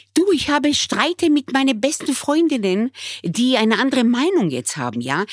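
In a dry, close sound with no echo, a woman speaks at a fairly quick pace with vocal fry and very wide pitch swings. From Israel, raised in Bremen from age nine. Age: 60s. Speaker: restaurateur. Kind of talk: emotional conversation.

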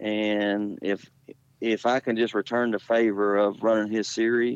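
A dry, close sound with no echo, in a Southern US accent. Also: man. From Jacksonville, Florida. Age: 50s. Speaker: dirt late model race car driver. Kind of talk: interview. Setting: phone call.

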